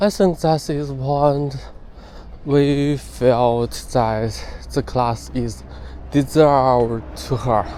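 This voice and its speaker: Very slowly and with long, frequent pauses, a man with a Chinese accent speaks at a medium pitch with ordinary pitch variation. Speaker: English learner vlogger. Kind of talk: spoken weekly journal. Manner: halting, with fillers and self-corrections.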